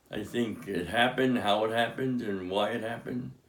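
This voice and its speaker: A man's fairly low voice at a fairly quick pace, with ordinary pitch variation and audible room echo. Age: 80s+. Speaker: father of the host, atheist. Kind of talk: interview. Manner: halting.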